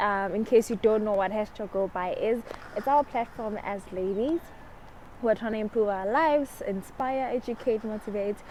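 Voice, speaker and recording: Speaking at a fairly quick pace, a woman uses a fairly high pitch with ordinary pitch variation. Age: 20s. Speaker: lifestyle vlogger. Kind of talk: casual chat. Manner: fast.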